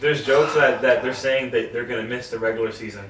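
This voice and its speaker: A man rattles along at a very fast pace, his voice carrying audible room echo amid noticeable background noise. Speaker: sports podcast co-host. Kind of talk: casual chat. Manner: stuttering, repeats words; animated.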